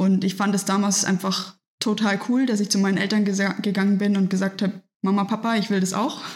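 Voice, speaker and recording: Pitched in the medium range, a woman's somewhat breathy voice is heard. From Germany, Nuremberg (Franconia). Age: 20s. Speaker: professional triathlete. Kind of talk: interview, casual conversation. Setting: in person at her home.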